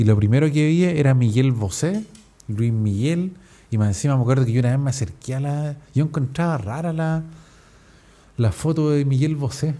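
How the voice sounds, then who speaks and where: Speaking at a moderate pace with a Chilean accent, a man with a fairly high voice has a dark, mellow tone. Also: ordinary pitch variation. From Chile, Viña del Mar. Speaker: podcaster. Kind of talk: casual podcast monologue. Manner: casual, slangy.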